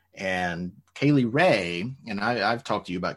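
A man speaks at a moderate pace with lively intonation in an unremarkable speaking voice. The background is quiet. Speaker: podcast co-host, teacher. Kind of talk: casual chat.

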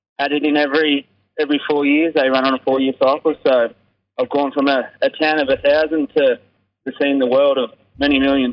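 A man speaks at a fairly quick pace with a strong Australian accent. His fairly high voice has monotone, flat intonation and very even loudness. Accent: broad Australian. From Australia, rural New South Wales (Braidwood). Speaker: rugby sevens player. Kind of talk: interview. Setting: phone call.

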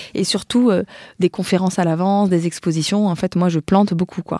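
A dark, mellow tone at a fairly quick pace, with fairly even intonation and a dry, close sound with no echo, on a very clean recording with a silent background. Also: woman. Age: 30s. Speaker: war photojournalist. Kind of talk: interview. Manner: halting.

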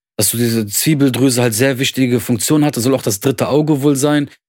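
Over a very clean recording with a silent background, a man with a plain, everyday voice speaks at a medium pitch with ordinary pitch variation. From Germany, Lebanese family. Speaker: podcast co-host. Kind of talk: casual chat.

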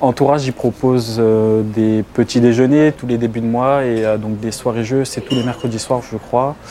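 Against noticeable background noise, a man speaks at a fairly slow pace with a medium pitch and a monotone, flat intonation. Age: 30s. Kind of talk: interview testimony.

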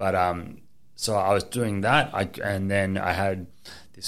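A man's voice sits very deep and low in pitch, with an Australian accent. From Queensland, Australia. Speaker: affiliate marketer. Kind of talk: casual chat. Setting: studio.

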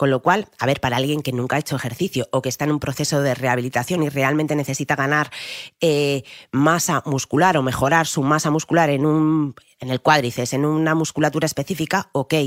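The recording is very clean, and the background is silent. The speaker moves at a fairly quick pace. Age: 30s. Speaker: personal trainer and triathlete. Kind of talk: interview.

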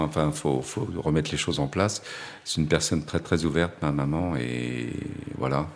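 A man with a very deep, low pitch and vocal fry talks at a fairly quick pace with ordinary pitch variation. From Paris suburbs, France. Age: 50s. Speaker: gallery owner and photographer's agent. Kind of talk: testimony. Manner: halting, with frequent repetitions and hesitations.

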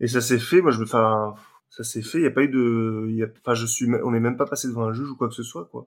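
A man with a plain, everyday voice talks fairly quickly, his pitch medium and his intonation fairly even. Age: 30s. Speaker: adult son of the couple. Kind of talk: interview testimony.

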